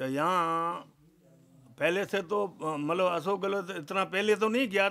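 A man speaks at a fairly slow pace with lively intonation. His tone is bright and sharp. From Rajasthan. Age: 70s. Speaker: village elder; interviewee. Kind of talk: street interview. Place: home room. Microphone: handheld.

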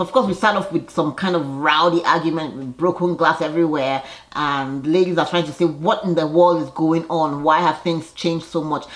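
In a plain, everyday voice, a woman talks at a fairly quick pace with fairly even intonation and a fairly low pitch. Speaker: TV show reviewer. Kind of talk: casual vlog chat. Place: home room. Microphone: phone near.

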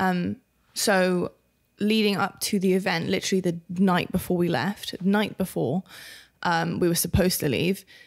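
On a very clean recording with a silent background, a woman speaks in a normal speaking voice at a medium pitch. Her pace is moderate, her loudness very even, and her intonation fairly even. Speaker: podcast co-host. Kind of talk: casual chat.

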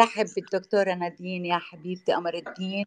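Sounding dry and close with no echo, a woman speaks at a medium pitch with monotone, flat intonation. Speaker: talk show host. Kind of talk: casual chat.

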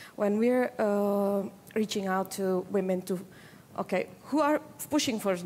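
A woman with an Indonesian accent and a dark, mellow tone, ordinary pitch variation and light background noise. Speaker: women's political participation advocate; panelist. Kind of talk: panel discussion. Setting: conference stage with audience. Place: stage. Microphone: headset.

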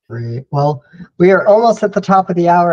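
A somewhat breathy man at a fairly quick pace against a quiet background. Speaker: webinar moderator for an agency. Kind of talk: webinar Q&A moderation. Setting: video call. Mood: relaxed, friendly. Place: home room. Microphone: headset.

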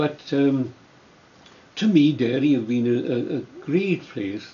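This man talks at a very slow pace in a Welsh accent. His pitch varies in an ordinary way. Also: fairly high pitch for a man. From South Wales valleys. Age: 80s+. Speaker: retired trade unionist. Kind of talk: oral history interview. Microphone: camera far.

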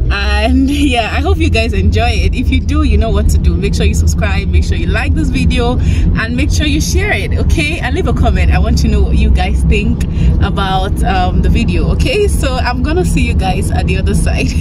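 Moderate pace with hardly any pauses, a dry sound without echo, and loud background noise. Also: woman. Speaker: vlogger. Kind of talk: casual vlog chat. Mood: cheerful, relaxed. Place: car. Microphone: phone near.

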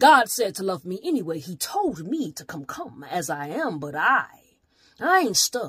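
A woman's intense voice at a moderate pace, with very wide pitch swings, a dry sound with no echo and a quiet background. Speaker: slam poet. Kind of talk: slam poetry performance. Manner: intense, defiant. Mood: pained, defiant. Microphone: phone near.

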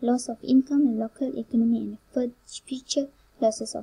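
A woman with a non-native accent speaks in a fairly high voice with a dark, mellow tone. Her intonation is monotone and flat, and the sound is dry and close with no echo. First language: not English. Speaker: university student presenter. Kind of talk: class presentation. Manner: halting.

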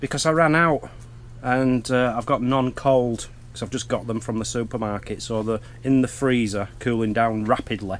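Faint music plays in the background as a man speaks at a moderate pace with ordinary pitch variation. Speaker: vlogger. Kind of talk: casual vlog chat. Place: tent. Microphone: phone near.

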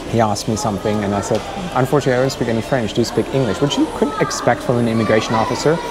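A man talks at a very fast pace. Clear music plays behind him. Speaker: travel vlogger. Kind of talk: casual vlog chat. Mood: amused storytelling. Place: station. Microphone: phone near.

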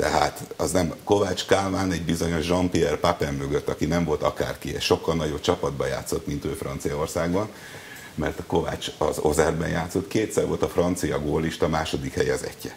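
With light noise in the background, the man keeps a moderate pace. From Hungary. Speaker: sports journalist. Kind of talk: TV interview. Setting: TV studio. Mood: wry, disappointed about football. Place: studio. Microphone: lapel.

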